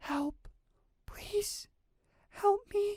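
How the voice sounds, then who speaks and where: A whispered, put-on character voice that sounds female. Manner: hushed, pleading.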